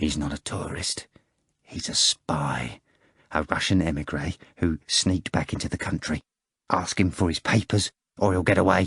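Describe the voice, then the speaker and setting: Whispering in a put-on character voice, a man sounds raspy at a moderate pace with long, frequent pauses, the sound dry and close with no echo. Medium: read story. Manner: urgent, conspiratorial.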